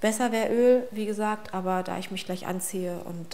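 A woman speaks at a fairly quick pace with fairly even intonation. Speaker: vlogger. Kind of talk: casual routine vlog chat. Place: bathroom.

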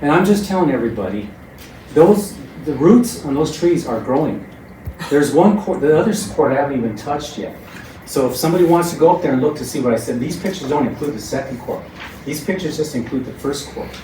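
A man with an American accent and a fairly high pitch speaks at a very fast pace with lively intonation, with audible room echo and noticeable background noise. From Trinidad, Colorado, US. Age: 60s. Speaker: public commenter at city council. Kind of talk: public comment. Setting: city council meeting.

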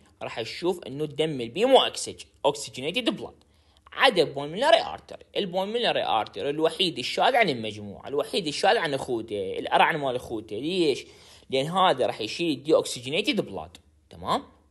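In a Baghdadi accent, a man with a fairly high pitch speaks at a fairly quick pace in an animated tone, with very wide pitch swings and vocal fry. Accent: Iraqi Arabic (Baghdadi). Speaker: pharmacy tutor. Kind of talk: lecture.

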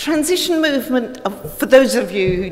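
A woman speaks with very wide pitch swings. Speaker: conference speaker. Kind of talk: informal talk to audience. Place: hall. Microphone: podium.

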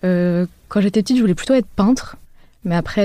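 A woman is speaking. Her tone is dark and mellow. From Paris, France. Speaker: architect. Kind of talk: interview. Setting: around a table.

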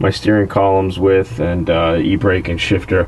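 Amid light background noise, a man with a fairly low pitch speaks at a moderate pace. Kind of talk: tutorial. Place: garage.

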